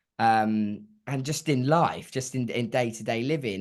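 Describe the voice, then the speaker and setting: Against a quiet background, a man speaks. His pitch variation is ordinary. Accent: English. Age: young. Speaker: singer-songwriter. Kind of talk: interview answer.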